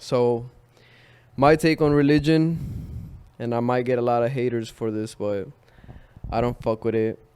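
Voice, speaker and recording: A man's medium-pitched, dark and mellow voice at a fairly slow pace, with long, frequent pauses and ordinary pitch variation. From Chile. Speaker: creative, model. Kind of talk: interview. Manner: casual.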